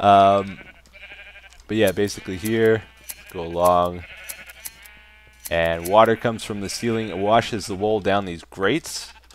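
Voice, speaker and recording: Over noticeable background noise, a man with a fairly low pitch and ordinary pitch variation speaks at a moderate pace. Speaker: gaming video creator. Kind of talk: let's play commentary.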